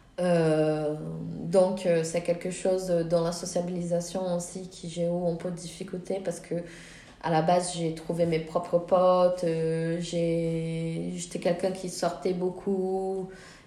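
A woman's fairly low voice at a very slow pace, monotone and flat, with noticeable background noise and audible room echo. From Brazil. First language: Portuguese (speaking French). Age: 20s. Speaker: film director and student. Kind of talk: interview. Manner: hesitant, many fillers.

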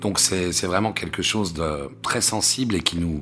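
Very deep, low pitch from a man, with ordinary variation in it. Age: 50s. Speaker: stage actor. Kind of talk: personal interview monologue. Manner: halting, frequent fillers and repetitions.

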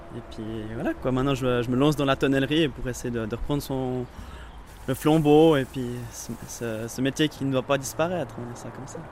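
A man speaks at a moderate pace and medium pitch with fairly even intonation. His loudness swings widely, and background noise is noticeable. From Vaud, French-speaking Switzerland. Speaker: apprentice cooper. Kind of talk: interview. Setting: workshop.

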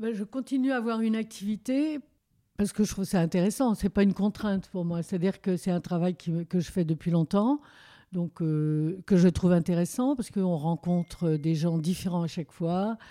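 A woman speaks at a moderate pace with lively intonation and a dark, mellow tone at medium pitch. The sound is dry and close with no echo, in a very clean recording with a silent background. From Paris region. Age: 70s. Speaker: retiree. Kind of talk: interview.

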